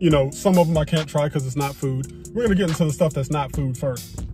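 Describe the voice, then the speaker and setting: A man speaks with clear music in the background. The sound is dry, with no echo. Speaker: vlogger. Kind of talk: casual vlog chat. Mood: relaxed, amused. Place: car. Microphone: phone near.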